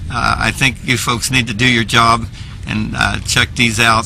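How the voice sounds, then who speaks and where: Fairly slow speech from a man, backed by music. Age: 70s. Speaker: public commenter. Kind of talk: public testimony.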